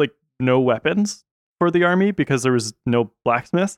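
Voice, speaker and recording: On a dry, close recording with no echo, a man with an unremarkable speaking voice talks at a fairly high pitch with lively intonation. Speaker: podcast host and camp worker. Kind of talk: casual podcast chat about Bible story.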